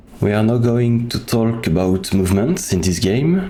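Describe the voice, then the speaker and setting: A man with a non-native accent talks at a fairly slow pace, using ordinary pitch variation. Audible room echo surrounds his voice. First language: French. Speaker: video game speedrunner. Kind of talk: tutorial. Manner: halting.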